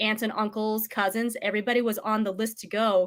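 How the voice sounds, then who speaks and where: In a General American accent, a woman speaks at a fairly high pitch on a very clean recording with a silent background. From United States. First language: Vietnamese. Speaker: real estate agent. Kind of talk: interview. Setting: livestream.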